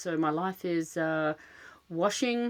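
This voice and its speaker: A woman with a fairly low-pitched voice speaks in an Australian accent. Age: middle-aged. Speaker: podcast host, dog rescuer. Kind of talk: casual monologue. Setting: home closet with cushions. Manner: fidgety, many filler words.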